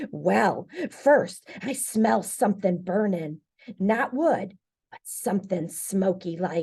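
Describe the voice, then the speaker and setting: A put-on character voice, female-sounding and raspy, comes at a middle pitch and a very slow pace. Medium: read story. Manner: folksy, dramatic.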